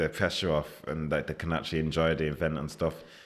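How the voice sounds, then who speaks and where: Speaking at a fairly quick pace, a man with a Mancunian accent has a very deep, low pitch. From Manchester, northern England. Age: 20s. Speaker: chef. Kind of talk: casual interview.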